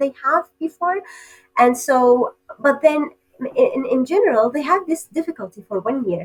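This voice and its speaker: With an Arabic accent, the speaker talks at a moderate pace with very wide pitch swings. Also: woman. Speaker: PhD candidate researcher. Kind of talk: podcast interview. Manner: hesitant with many fillers.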